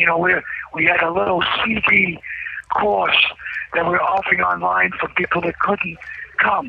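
Long, frequent pauses from a man at a moderate pace, amid noticeable background noise. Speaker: imprisoned guest on call-in show. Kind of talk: phone interview. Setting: phone call from prison cell.

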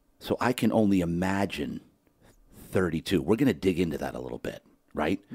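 An animated man with a very deep, low pitch and vocal fry, fairly quick in pace, in a dry, close sound with no echo. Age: 50s. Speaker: podcast host. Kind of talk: casual interview. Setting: studio.

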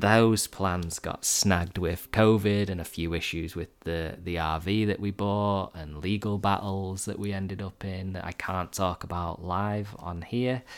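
Over a very clean recording with a silent background, a man speaks at a fairly slow pace with hardly any pauses. His very deep, low pitch moves in fairly even intonation. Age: 30s. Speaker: podcast host and meditation coach. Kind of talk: casual monologue. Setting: home living room. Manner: halting, with fillers.

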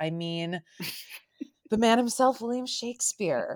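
The speaker uses an ordinary speaking voice with lively intonation at a moderate pace. The recording is very clean, with a silent background. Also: woman. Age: 30s. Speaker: podcast host and actor. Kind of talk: casual chat.

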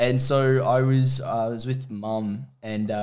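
Room echo is audible around a speaker with an Australian accent. The intonation is monotone and flat. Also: man. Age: young. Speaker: charity runner. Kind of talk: casual chat.

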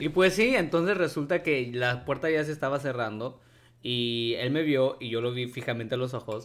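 At a moderate pace, a man speaks in a normal speaking voice with medium pitch and ordinary pitch variation. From Mexico. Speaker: podcast co-host. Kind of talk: casual chat.

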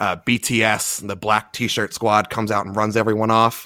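Fairly low in pitch and fairly slow in pace, a man with an American accent speaks in a plain, everyday voice. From US East Coast, Baltimore. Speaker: wrestling podcast host. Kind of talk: casual chat.

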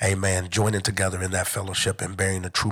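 A monotone voice with flat intonation and an American accent. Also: man. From Detroit, Michigan. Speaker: church overseer. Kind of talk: religious talk. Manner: halting.

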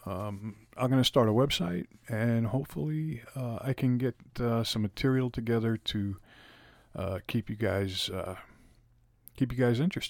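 A man at medium pitch speaks at a moderate pace with ordinary pitch variation and long, frequent pauses, on a very clean recording with a silent background that sounds dry and close with no echo. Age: 50s. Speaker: podcast host. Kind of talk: solo monologue. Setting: speaking into a microphone. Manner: halting.

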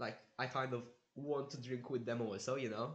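With audible room echo, a man talks at medium pitch and a fairly quick pace. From Malta. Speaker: veterinary student. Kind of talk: casual chat.

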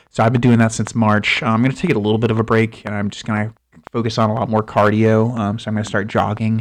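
Talking at a very fast pace, a man with an American accent uses a medium pitch and monotone, flat intonation. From Florida. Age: 20s. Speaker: podcast host. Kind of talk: casual monologue. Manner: halting, many fillers.

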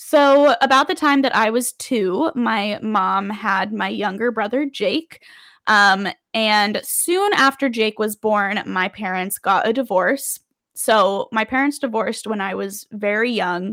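A woman with an American accent speaks at a fairly slow pace, her tone bright and sharp. Her pitch varies in an ordinary way on a very clean recording with a silent background. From Las Vegas, Nevada, US. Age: 20s. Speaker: podcast host. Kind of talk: personal storytelling monologue. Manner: casual, many filler words.

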